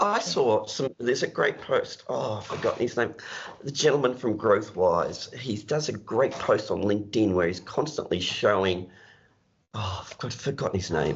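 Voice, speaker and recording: The speech moves at a moderate pace. It carries an Australian accent. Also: man. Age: 60s. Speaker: accounting business mentor. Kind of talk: podcast interview.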